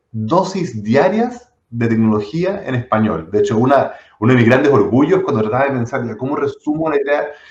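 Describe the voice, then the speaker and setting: In a Chilean accent, a man speaks at a moderate pace with a fairly high pitch. His voice is somewhat breathy, with very wide pitch swings. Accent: Chilean Spanish, fully. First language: not Spanish (speaking Spanish). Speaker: tech entrepreneur. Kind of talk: interview conversation. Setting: live stream. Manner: hesitant, many fillers and repetitions.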